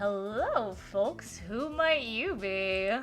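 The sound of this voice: Put-on character voice from a woman at medium pitch, with clear background noise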